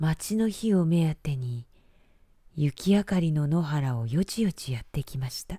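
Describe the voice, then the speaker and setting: Somewhat breathy and dark, mellow in tone, a woman speaks at a fairly low pitch and a fairly slow pace, her pitch swinging very widely. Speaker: announcer and narrator. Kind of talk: bedtime story reading.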